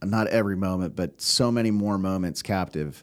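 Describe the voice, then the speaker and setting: In a very clean recording with a silent background, a man with a plain, everyday voice and an American accent speaks at a fairly low pitch with ordinary pitch variation. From US West Coast, California Bay Area. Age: 40s. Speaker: podcast producer, Marine veteran. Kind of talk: casual interview. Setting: studio.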